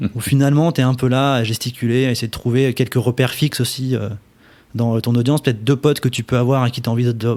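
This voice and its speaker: At a very fast pace, a man speaks in a medium pitch with fairly even intonation. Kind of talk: interview answer. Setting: studio.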